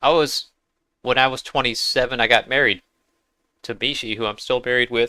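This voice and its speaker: The man has a bright, sharp tone at medium pitch with fairly even intonation. He leaves long, frequent pauses on a very clean recording with a silent background. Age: 50s. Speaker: gaming live streamer. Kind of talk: live gameplay commentary chatting with viewers. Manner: casual, halting with fillers.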